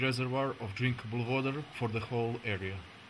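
Light background noise accompanies a man with a Croatian accent. He talks at a moderate pace and medium pitch with fairly even intonation. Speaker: conservation biologist. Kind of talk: documentary narration. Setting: in a cave. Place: tunnel cave.

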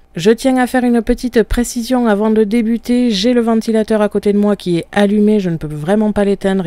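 A woman speaks at a fairly quick pace. The sound is dry with no echo. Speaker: craft software tutor. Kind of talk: tutorial. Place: home room.

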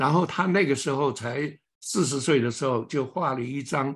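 Against a quiet background, a man with a fairly high, somewhat breathy voice talks fairly slowly with lively intonation. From China. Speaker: lecturer on an artist. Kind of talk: online lecture. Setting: online presentation. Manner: halting, many filler sounds. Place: home room. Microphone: webcam.

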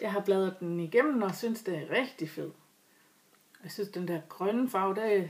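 Speech moves at a moderate pace. Its pitch varies in an ordinary way. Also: woman. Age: 40s. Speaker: knitting vlogger. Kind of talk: casual vlog talk. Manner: halting. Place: home room. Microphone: webcam.

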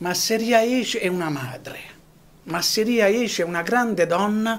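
A man talks fairly slowly, his intonation lively throughout. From Apulia, Altamura. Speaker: association president, former footballer, local writer. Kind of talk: TV studio interview. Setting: TV studio. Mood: reflective, poetic. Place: studio.

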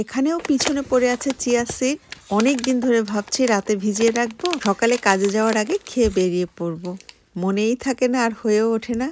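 A woman with a normal speaking voice, fairly high in pitch, ordinary pitch variation, dry and close with no echo. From Bangladesh, Khulna. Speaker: vlogger. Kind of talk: vlog narration.

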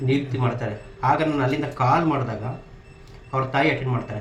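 A man speaks with fairly even intonation, and audible echo from the room is heard. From southern Karnataka (Mysuru region), India. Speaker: retired army soldier. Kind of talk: interview.

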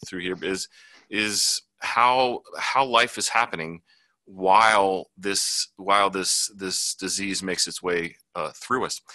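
A man's fairly low voice has a bright, sharp tone and ordinary pitch variation against a quiet background. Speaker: photojournalist; news panelist. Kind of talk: panel discussion. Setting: video call. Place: office. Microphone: video call.

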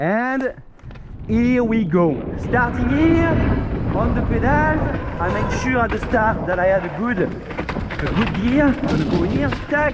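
A man speaks at a fairly slow pace, his high voice swinging very widely in pitch. Noticeable background noise and audible room echo surround him. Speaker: mountain bike coach and vlogger. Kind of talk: casual vlog narration. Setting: outdoors on a bike trail. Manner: animated.

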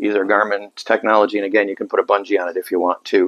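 The speech moves at a fairly quick pace over a quiet background. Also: man. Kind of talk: product demo talk. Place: shop. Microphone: lapel.

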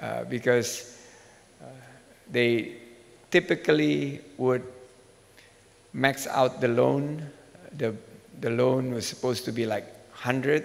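Very slowly, a man talks with ordinary pitch variation. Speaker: government minister, keynote speaker. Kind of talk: keynote speech. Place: hall. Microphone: podium.

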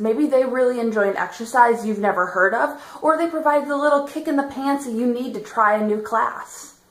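A woman's high-pitched voice moves at a fairly quick pace with ordinary pitch variation amid audible room echo. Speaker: fitness vlogger. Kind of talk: casual vlog chat. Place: home room. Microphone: phone near.

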